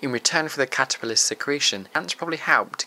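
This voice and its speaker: The intonation is lively. The sound is dry and close with no echo, though noticeable background noise sits behind it. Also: man. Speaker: nature presenter. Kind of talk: nature documentary narration. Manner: measured, even, informative; formal, steady pace.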